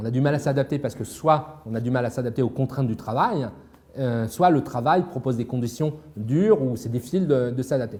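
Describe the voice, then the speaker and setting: His words come at a very fast pace. The man's medium pitch shows ordinary variation. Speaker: psychiatrist and author. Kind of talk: interview. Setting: live broadcast.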